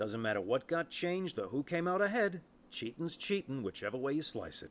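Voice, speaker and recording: Putting on a gruff character voice, a man speaks at a fairly high pitch and a fairly quick pace on a very clean recording with a silent background. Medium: solo performance. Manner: gruff, streetwise, cynical.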